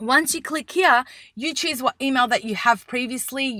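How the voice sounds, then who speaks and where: On a very clean recording with a silent background and a dry, close sound with no echo, a woman projects a raised voice at high pitch, with a bright, sharp tone, lively intonation and a moderate pace. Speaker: photographer and business coach. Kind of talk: tutorial. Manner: casual, with fillers.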